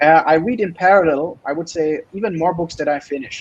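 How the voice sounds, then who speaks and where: In a German accent, a man speaks with a high pitch. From Germany. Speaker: PhD student. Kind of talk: interview.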